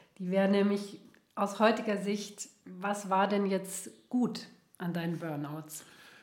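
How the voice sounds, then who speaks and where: A woman at a very slow pace, with fairly even intonation and audible room echo. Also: medium pitch for a woman. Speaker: podcast host, therapist. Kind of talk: interview conversation. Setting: in-person, coaching room.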